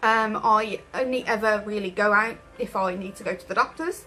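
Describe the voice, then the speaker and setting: A woman with an English accent, music in the background. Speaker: vlogger with chronic illness. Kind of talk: personal vlog. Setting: at home in her room. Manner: halting.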